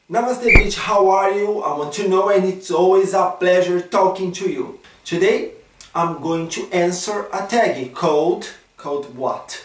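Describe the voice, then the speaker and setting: A high-pitched man with a strong Brazilian accent at a fairly slow pace, with audible room echo and noticeable background noise. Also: ordinary pitch variation. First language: Portuguese. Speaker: vlogger. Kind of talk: casual vlog chat. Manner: non-native halting English.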